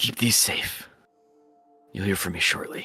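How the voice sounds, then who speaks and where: A man uses a raspy, put-on character voice. Faint music plays in the background. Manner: commanding.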